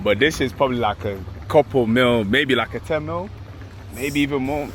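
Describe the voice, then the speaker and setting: A man speaks in a London accent at a moderate pace. His pitch is medium. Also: ordinary pitch variation. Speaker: travel vlogger. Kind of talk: casual vlog chat. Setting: outdoors. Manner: animated.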